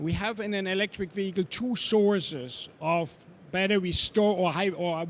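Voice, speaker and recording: A high-pitched man's voice with a slight German accent, moderate pace and ordinary pitch variation. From Germany. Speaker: electric vehicle trainer. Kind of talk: panel talk. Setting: trade show stage.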